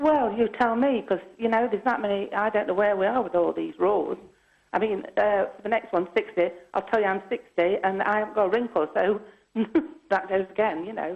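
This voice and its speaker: Her pitch moving in a usual way, a woman talks somewhat fast. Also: medium pitch for a woman. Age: 60s. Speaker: caller. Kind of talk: phone-in call. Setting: phone call. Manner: rambling, halting. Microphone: poor phone line.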